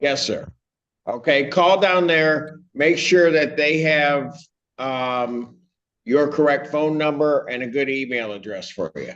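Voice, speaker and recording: A man with a fairly high pitch speaks at a very slow pace. His pitch variation is ordinary. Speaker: judge. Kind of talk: courtroom proceedings. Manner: calm, measured.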